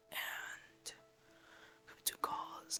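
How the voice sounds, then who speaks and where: This is a man's voice. He is whispering. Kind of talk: ASMR whisper ramble, casual personal storytelling. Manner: whispered.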